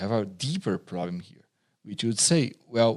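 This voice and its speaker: A man with a Portuguese accent speaks at a fairly slow pace and medium pitch, with very wide pitch swings. The sound is dry and close, with no echo. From southern Brazil. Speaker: pastor and seminary teacher. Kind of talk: interview.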